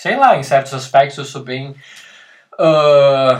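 Somewhat breathy and fairly high-pitched, a man speaks at a very slow pace. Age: 30s. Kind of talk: casual chat. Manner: halting.

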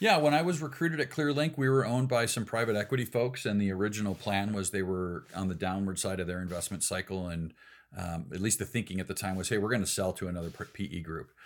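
A man with a Midwestern American accent at a very fast pace, fairly low in pitch with lively intonation, on a very clean recording with a silent background. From US Midwest, Chicago suburbs (Elgin, Illinois). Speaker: ecommerce executive. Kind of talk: casual interview.

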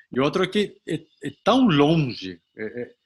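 A man in a Spanish accent talks with very wide pitch swings. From Colombia. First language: Spanish (speaking Portuguese). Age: 60s. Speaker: retired executive and amateur triathlete. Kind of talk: interview. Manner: halting, frequent repetitions.

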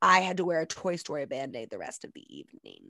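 An unremarkable speaking voice moves at a moderate pace with lively intonation. The recording is very clean and dry, close with no echo, over a silent background. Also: woman. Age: 20s. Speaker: podcast co-host and teacher. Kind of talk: casual chat.

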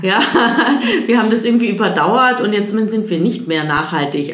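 A woman at a moderate pace, ordinary pitch variation, audible room echo and noticeable background noise. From Munich, Bavaria. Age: 30s. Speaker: economist at a sustainability bank. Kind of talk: interview.

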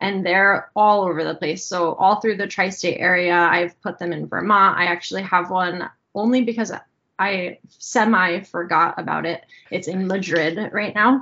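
A woman with an American accent talks at a moderate pace in an ordinary speaking voice, her pitch medium and her intonation fairly even. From New Jersey. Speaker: photography teacher and pinhole photographer. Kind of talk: casual interview.

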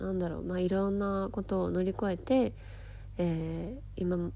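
Her tone is dark and mellow, and her pitch sits fairly low. The woman's pitch varies in an ordinary way. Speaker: podcast host and life coach. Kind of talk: casual solo talk.

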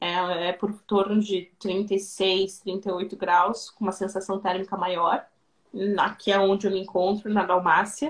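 At a medium pitch, a woman talks at a fairly slow pace. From southern Brazil, Rio Grande do Sul. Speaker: Brazilian expat in Croatia. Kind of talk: interview on live stream. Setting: live video stream. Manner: hesitant, many repetitions.

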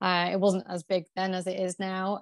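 In a Yorkshire accent, a woman speaks at medium pitch with monotone, flat intonation. The recording is very clean, with a silent background and a dry, close sound with no echo. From Yorkshire, England. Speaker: PR agency founder. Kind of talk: interview.

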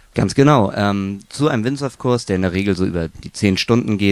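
A man with an ordinary speaking voice, fairly low pitch and ordinary pitch variation, at a fairly quick pace. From northern Germany, near Kiel. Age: 20s. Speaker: windsurf and wingfoil instructor. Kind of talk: interview.

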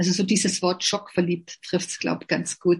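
A woman is speaking. Her pace is moderate. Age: 50s. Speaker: network marketing distributor. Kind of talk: interview.

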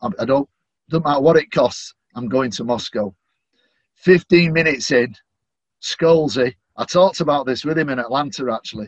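A man with a Manchester accent and a fairly high voice, at a moderate pace with ordinary pitch variation. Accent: Mancunian, northern English. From Manchester, England. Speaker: stadium announcer. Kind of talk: interview chat.

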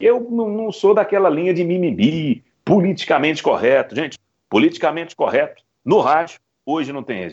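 Shouting in a high voice, a man is heard against a quiet background. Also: lively intonation, moderate pace. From Belo Horizonte, Minas Gerais, Brazil. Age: 30s. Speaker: radio football commentator. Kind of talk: interview. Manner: emotional, shouting goal calls.

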